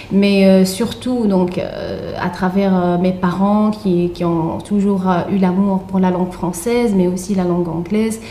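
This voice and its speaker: With an Arabic accent, a woman speaks at medium pitch and a very slow pace, with hardly any pauses, monotone, flat intonation and very even loudness, amid audible room echo and noticeable background noise. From Tunisia. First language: Arabic (speaking French). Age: young. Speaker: author and literature researcher. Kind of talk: radio interview. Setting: radio studio. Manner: hesitant, many fillers.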